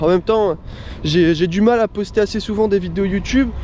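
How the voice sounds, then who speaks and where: A man talks at a moderate pace in a high pitch. Background noise is noticeable throughout. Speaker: motocross vlogger. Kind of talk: casual vlog. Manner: animated.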